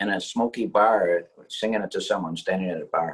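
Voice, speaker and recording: The pace is fairly quick. It is a man talking. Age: 60s. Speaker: pianist and songwriter. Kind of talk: interview. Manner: halting, repeats words.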